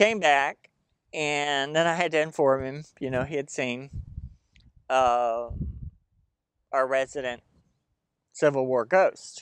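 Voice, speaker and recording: With a Southern US accent, a man at a fairly high pitch speaks very slowly, leaving long, frequent pauses. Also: ordinary pitch variation. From Tennessee, Chattanooga. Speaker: storyteller and psychic. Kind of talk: ghost storytelling. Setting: outdoors in a cemetery. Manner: casual with many fillers.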